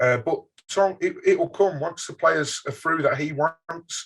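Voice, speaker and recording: This is a man talking. His Birmingham accent is strong. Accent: Birmingham (Brummie), strong. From England, Birmingham. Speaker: football fan podcaster. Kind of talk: casual interview chat.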